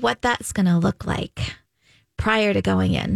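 A woman at a moderate pace, her sound dry and close with no echo. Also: very clean recording, silent background. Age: 40s. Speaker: women's health clinic doctor. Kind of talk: casual chat.

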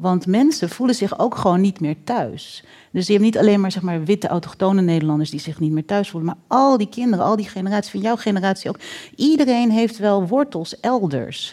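A woman's medium-pitched voice with a dark, mellow tone and lively intonation, at a fairly quick pace, on a very clean recording with a silent background. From Netherlands. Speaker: writer and researcher. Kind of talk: panel discussion. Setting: stage with audience.

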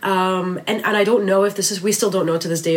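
Noticeable background noise behind a woman's fairly even intonation. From Lebanon. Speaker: magazine editor. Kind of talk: interview.

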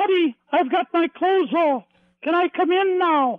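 Putting on a character voice, a man speaks in falsetto at an extremely high pitch and a moderate pace. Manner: teasing.

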